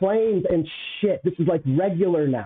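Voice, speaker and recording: A man at a high pitch, with ordinary pitch variation and a moderate pace. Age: 40s. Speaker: live streamer. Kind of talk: casual live stream monologue. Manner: halting, repeats words. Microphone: bad mic, being adjusted.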